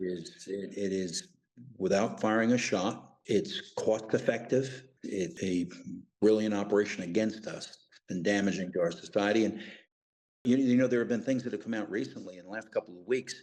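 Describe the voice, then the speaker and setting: An unremarkable speaking voice from a man with an American accent, a fairly low pitch, ordinary pitch variation and a moderate pace. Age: 60s. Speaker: retired intelligence officer and whistleblower. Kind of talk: interview.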